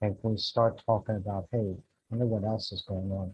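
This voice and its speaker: A somewhat breathy man at medium pitch and a fairly quick pace. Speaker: atmospheric scientist. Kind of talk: conference talk.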